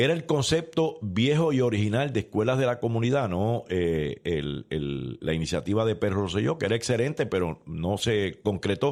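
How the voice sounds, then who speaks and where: A man at a medium pitch talks at a moderate pace with vocal fry and very wide pitch swings, on a very clean recording with a silent background. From Puerto Rico, San Juan. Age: 60s. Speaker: former politician. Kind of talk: interview.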